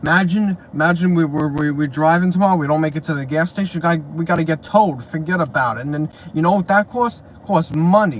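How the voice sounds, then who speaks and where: A man with a New York accent speaks at a fairly high pitch. His pitch varies in an ordinary way against noticeable background noise. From New York, Brooklyn. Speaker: YouTuber. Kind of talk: casual livestream chat. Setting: sitting in parked car. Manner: rambling, repetitive, halting.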